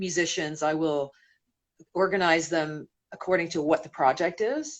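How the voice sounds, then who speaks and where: A woman's fairly low pitch at a moderate pace, with fairly even intonation. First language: Spanish. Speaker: singer. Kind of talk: interview.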